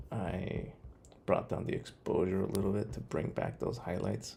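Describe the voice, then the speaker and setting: A man with a very deep, low pitch, a dark, mellow tone and vocal fry speaks at a moderate pace. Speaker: photographer. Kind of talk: tutorial. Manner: soft-spoken.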